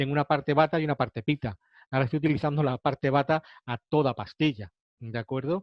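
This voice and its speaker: Very fast speech comes from a man with a fairly high voice. His pitch varies in an ordinary way. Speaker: ayurveda teacher. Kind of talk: lecture.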